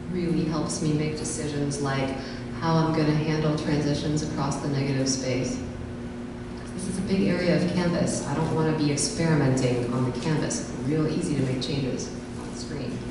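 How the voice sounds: A woman with a low, raspy voice speaks at a moderate pace with fairly even intonation, over audible room echo and clear background noise.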